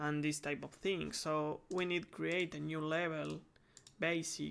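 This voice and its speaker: A man with a Spanish accent, at a fairly slow pace and very even loudness. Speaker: game development tutorial creator. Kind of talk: tutorial. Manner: halting, many fillers.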